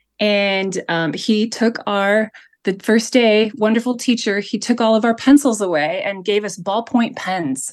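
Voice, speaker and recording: A woman with a fairly high pitch speaks at a fairly slow pace with ordinary pitch variation. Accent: American. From United States. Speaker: artist and minimalist. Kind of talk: interview conversation. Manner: hesitant with many fillers.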